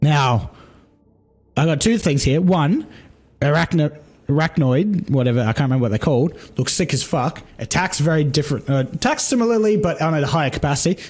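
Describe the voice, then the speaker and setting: Excited and somewhat breathy, a man with a fairly high pitch talks at a fairly quick pace, his intonation lively and his loudness very even. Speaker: gaming content creator. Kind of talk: casual trailer reaction commentary. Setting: recorded during a livestream.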